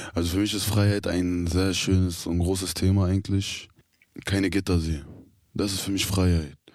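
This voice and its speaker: This man's voice is very deep and low in pitch. He speaks at a moderate pace in a monotone, flat intonation. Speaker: prison inmate. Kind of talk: interview. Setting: youth prison.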